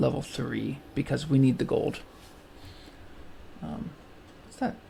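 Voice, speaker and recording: As the man talks, noticeable background noise can be heard. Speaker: gaming video creator. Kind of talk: let's play commentary. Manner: relaxed, hesitant with many fillers.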